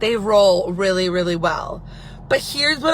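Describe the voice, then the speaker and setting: In an American accent, a woman speaks at a fairly slow pace with an animated tone and lively intonation, amid noticeable background noise. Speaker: business owner, live video host. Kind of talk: casual live video chat.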